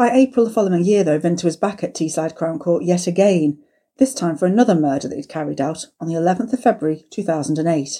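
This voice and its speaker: Her tone dark and mellow, a woman speaks with lively intonation. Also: fairly low pitch for a woman, fairly quick pace. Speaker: true crime podcast co-host. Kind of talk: reading aloud.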